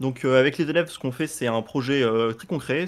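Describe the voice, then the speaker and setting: A man delivers his words fairly quickly, his medium pitch held in fairly even intonation. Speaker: motion design teacher. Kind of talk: software course presentation. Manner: fast; hesitant, many fillers.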